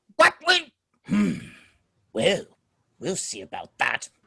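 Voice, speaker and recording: A man puts on a raspy character voice and speaks at a fairly slow pace. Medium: audio drama. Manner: wry, chatty.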